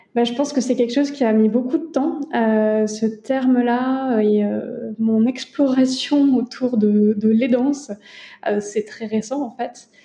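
Speaking at a very slow pace, a woman with a high-pitched voice keeps her intonation fairly even. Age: 30s. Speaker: lawyer and family caregiver. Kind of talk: interview testimony.

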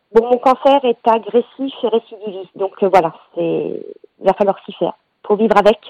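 Fairly high in pitch, a woman speaks with a dark, mellow tone. Her loudness swings widely. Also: ordinary pitch variation, moderate pace. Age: 40s. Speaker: cancer patient. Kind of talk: testimony.

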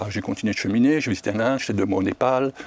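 This man speaks at a medium pitch with ordinary pitch variation in a plain, everyday voice. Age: 60s. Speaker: foster parent with a conversion testimony. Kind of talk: testimony.

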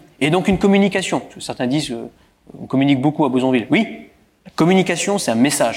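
A man with lively intonation. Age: 30s. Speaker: local politician. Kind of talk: interview. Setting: stage with audience.

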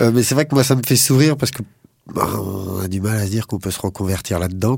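Talking at a very fast pace, a man has a fairly low pitch. His pitch variation is ordinary. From Paris suburbs, France. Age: 40s. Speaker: cheesemaker, former railway engineer. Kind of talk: interview. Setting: studio.

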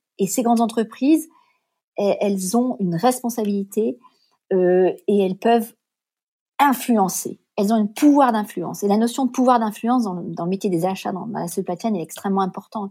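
On a very clean recording with a silent background, a woman's somewhat breathy, dark and mellow voice sits fairly high in pitch, with ordinary pitch variation at a moderate pace. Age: 50s. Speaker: responsible purchasing consultant. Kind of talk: interview.

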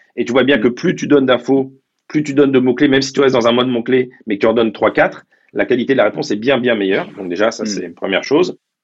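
With ordinary pitch variation, a man talks very fast. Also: medium pitch for a man. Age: 50s. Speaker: tech executive. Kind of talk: interview.

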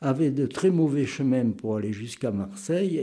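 A man's dark, mellow voice at a fairly high pitch. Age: 80s+. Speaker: retired naval model maker. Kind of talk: casual interview. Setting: home garage workshop.

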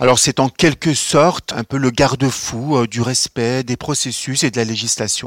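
In an unremarkable speaking voice, a man talks at medium pitch and a fairly slow pace with fairly even intonation and hardly any pauses, the sound dry and close with no echo. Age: 30s. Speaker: social security executive. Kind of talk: career testimony.

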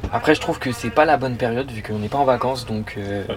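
Speaking at a very fast pace, a man keeps a medium pitch. His intonation is fairly even, and noticeable background noise can be heard. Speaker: podiatry student. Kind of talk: casual chat.

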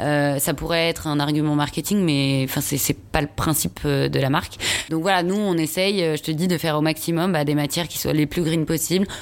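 Against noticeable background noise, a woman with a very deep, low pitch talks at a moderate pace with fairly even intonation. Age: 30s. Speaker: fashion brand founder. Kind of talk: casual chat.

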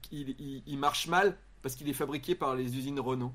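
A man's unremarkable speaking voice at a fairly high pitch and a moderate pace. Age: 40s. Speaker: YouTuber and comedian. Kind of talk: casual chat. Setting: live stream.

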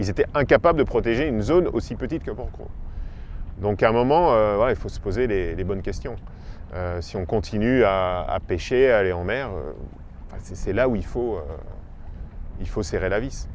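A man at a moderate pace, with lively intonation, long, frequent pauses and audible room echo. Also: medium pitch for a man. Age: 40s. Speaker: freediver and ocean photographer. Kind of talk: interview. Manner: hesitant, many fillers.

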